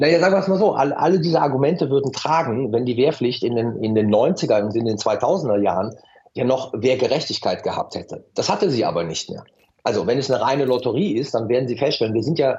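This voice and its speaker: Somewhat breathy, a man talks at a very fast pace with medium pitch and lively intonation. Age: 50s. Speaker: professor of international politics, security expert. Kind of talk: radio interview. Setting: remote call via app. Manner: hesitant with fillers and repetitions.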